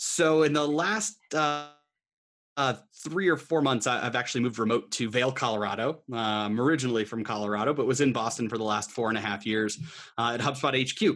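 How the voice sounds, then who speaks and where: A normal speaking voice moves at a fairly quick pace with ordinary pitch variation, in a very clean recording with a silent background. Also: man, medium pitch for a man. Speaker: HubSpot channel account manager. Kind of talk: casual interview chat.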